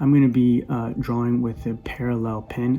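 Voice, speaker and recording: Noticeable background noise sits behind a man's voice. He speaks at a medium pitch with monotone, flat intonation. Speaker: artist. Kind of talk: tutorial. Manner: fast; casual, halting with fillers.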